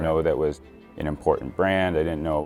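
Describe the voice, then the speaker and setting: With music in the background, a man talks at a very fast pace in a very deep, low pitch. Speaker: magician. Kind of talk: interview answer.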